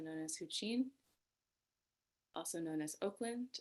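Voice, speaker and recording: A woman talks at a fairly low pitch with ordinary pitch variation. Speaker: Buddhist activist and speaker. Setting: video webinar from home. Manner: raising voice to be heard. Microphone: too quiet.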